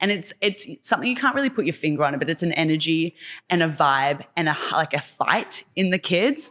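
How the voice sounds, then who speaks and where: A woman with an Australian accent, fairly low in pitch, with lively intonation, very even loudness and a fairly quick pace. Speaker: choreographer and dance teacher. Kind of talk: casual interview.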